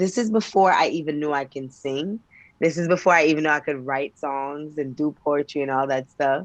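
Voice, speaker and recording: A woman speaks with a Jamaican accent in a very deep, low pitch. The background is quiet. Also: ordinary pitch variation, moderate pace. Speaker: poet and singer. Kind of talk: interview.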